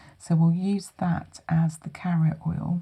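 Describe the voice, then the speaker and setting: Somewhat breathy, a woman with a very deep, low pitch speaks very slowly in a calm, gentle, dark and mellow tone with monotone, flat intonation. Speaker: holistic therapist giving a hand massage. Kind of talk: calm guided treatment talk in an ASMR massage session. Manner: calm, gentle, soothing.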